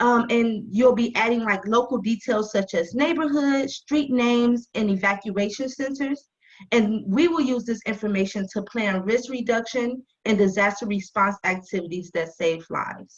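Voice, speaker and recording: Fairly high female voice, a plain, everyday voice, with ordinary pitch variation, moderate pace and hardly any pauses. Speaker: nonprofit volunteer recruiter. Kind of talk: presentation.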